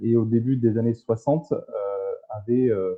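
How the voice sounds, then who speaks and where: A man speaks fairly slowly, his voice sitting at a medium pitch. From southern France (Marseille). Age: 20s. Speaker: entrepreneur in plastics recycling. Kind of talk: live talk show interview. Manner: hesitant, many fillers.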